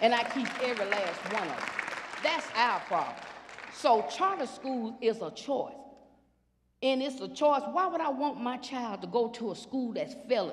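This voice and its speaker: Someone talks at a moderate pace with crowd noise in the background. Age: 50s. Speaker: school board panelist. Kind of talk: panel discussion. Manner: animated.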